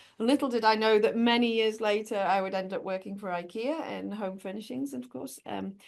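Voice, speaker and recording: A woman with a British accent, fairly high in pitch, fairly quick and lively in intonation, with big swings in loudness and hardly any pauses. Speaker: corporate sustainability executive. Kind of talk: interview conversation.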